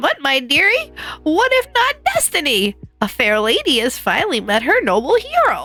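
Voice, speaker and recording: A woman does a put-on character voice with a high pitch and very wide pitch swings. Her loudness stays very even, with faint music in the background. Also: moderate pace. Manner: theatrical, coy.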